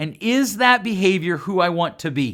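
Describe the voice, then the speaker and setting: Loud and animated, a man's voice swings very widely in pitch on a very clean recording with a silent background. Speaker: podcast host. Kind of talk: solo podcast monologue.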